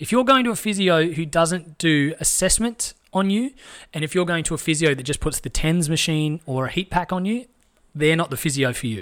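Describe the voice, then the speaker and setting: On a very clean recording with a silent background, a man speaks in an Australian accent. His high voice has lively intonation and a fairly quick pace. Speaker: fitness podcast host. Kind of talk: casual interview chat. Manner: upbeat, conversational.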